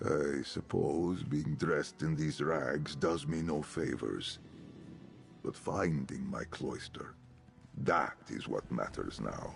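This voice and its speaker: A man speaks in a put-on character voice at a fairly slow pace. Background noise is clearly audible. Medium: video game. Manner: formal, archaic, solemn.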